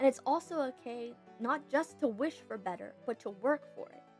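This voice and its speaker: With music playing in the background, a woman speaks with lively intonation. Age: young. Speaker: writer and animator. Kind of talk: casual talk to camera.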